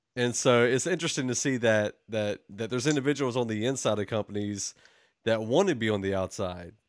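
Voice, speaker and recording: A man's normal speaking voice at medium pitch, fairly quick pace and ordinary pitch variation, on a very clean recording with a silent background. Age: 20s. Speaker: podcast host. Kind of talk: interview.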